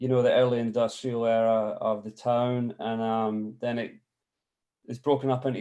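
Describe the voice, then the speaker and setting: A man in a Scottish accent, fairly slow, with a dark, mellow tone and monotone, flat intonation. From Scotland, village about twenty miles southeast of Glasgow. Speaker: photographer. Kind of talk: artist talk presentation. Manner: halting with many fillers.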